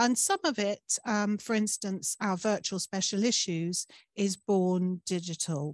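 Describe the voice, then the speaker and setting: Against a quiet background, a woman speaks at a fairly slow pace in a dry sound with no echo. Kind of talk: presentation talk. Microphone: video call.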